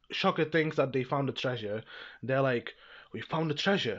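The background is quiet as a man speaks. His pitch varies in an ordinary way. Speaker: reviewer. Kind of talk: casual video review narration. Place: home room.

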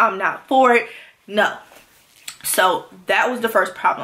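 A woman's voice at a moderate pace, with ordinary pitch variation. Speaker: vlogger sharing birth story. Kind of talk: casual vlog chat. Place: home room.

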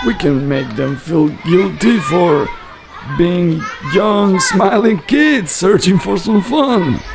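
A man talks at a very slow pace in a cartoonish character voice pitched high. Clear background noise runs behind him. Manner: soothing, patient, gently reasoning.

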